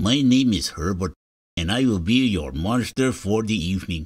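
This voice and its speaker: A man puts on a character voice, raspy and fairly low in pitch. He speaks at a moderate pace. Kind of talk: formal, polite greeting.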